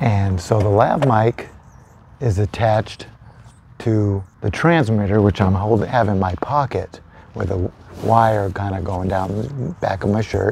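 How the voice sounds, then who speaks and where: Light background noise sits under a man with a normal speaking voice, fairly low-pitched and fairly slow, with ordinary pitch variation and a dry sound with no echo. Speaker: gear vlogger. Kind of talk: casual gear test vlog. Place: garden. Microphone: lapel.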